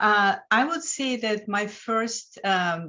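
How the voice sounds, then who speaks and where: A woman talks with a Lithuanian accent. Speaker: financial coach. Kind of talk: interview.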